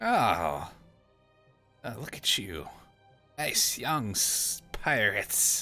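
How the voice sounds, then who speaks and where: Over faint music in the background, a put-on character voice speaks at a very slow pace and low pitch with long, frequent pauses. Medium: actual play. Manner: grumbling, sighing.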